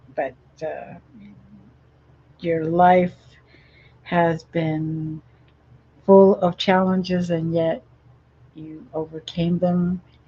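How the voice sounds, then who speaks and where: The voice is somewhat breathy and dark and mellow, with monotone, flat intonation at a very slow pace. Its loudness swings widely, broken by long, frequent pauses. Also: woman, fairly low pitch for a woman. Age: 60s. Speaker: talk show host. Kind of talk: interview. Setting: live streamed show.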